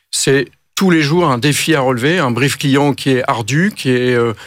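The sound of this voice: A man with a medium pitch speaks at a moderate pace, his pitch varying in an ordinary way.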